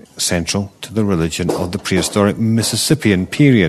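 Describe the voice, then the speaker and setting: The speaker has a Scottish accent and keeps a fairly quick pace. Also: man. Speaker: archaeology news podcast host. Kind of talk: news reading.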